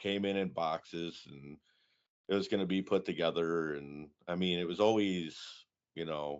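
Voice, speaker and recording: A man with a Michigan accent, a very deep, low pitch and fairly even intonation at a moderate pace. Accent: Midwestern American (Michigan). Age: 30s. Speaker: motorcycle build competition founder. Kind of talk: casual interview.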